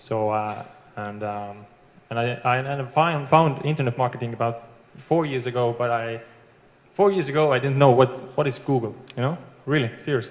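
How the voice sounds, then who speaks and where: With an Estonian accent, a man speaks at a moderate pace and medium pitch, with ordinary pitch variation and long, frequent pauses. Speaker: internet marketer. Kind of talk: testimony. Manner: halting.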